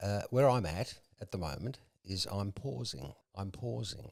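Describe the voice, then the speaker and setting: An Australian-accented man with a dark, mellow tone, very wide pitch swings and a fairly slow pace, on a very clean recording with a silent background. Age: 60s. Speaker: entrepreneur in recovery. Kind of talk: casual chat.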